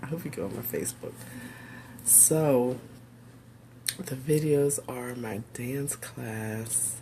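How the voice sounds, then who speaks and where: A woman talks at a very slow pace with long, frequent pauses, and audible room echo surrounds her voice. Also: ordinary pitch variation. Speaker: pastor and teacher. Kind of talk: casual livestream talk. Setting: home office video stream. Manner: halting with fillers.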